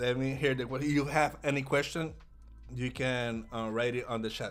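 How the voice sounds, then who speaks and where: With a Puerto Rican accent, a man talks at a moderate pace. His pitch is medium and his intonation fairly even. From Puerto Rico. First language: Spanish. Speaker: day trader. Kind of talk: live trading stream commentary. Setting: livestream. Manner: halting, many repetitions.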